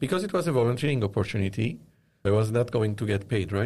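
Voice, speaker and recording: A man speaks at a medium pitch with ordinary pitch variation. His voice is somewhat breathy. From Lebanon. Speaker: media company founder. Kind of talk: interview. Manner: hesitant, many fillers.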